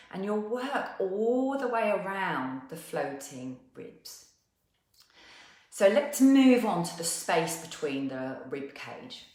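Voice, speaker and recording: A woman with a South East London accent speaks at a very slow pace and medium pitch. Her tone is gentle and calm, with very wide pitch swings. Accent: South East London twang. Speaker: movement and wellness teacher. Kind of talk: guided movement class. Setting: live online session. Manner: gentle, calm.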